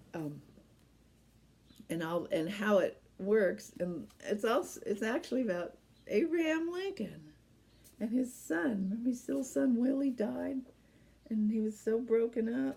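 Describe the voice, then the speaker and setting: A woman with a dark, mellow, somewhat breathy tone speaks at a fairly high pitch with very wide pitch swings. Her pace is fairly slow, broken by long, frequent pauses. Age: 70s. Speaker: knitting podcast host. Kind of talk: casual chat.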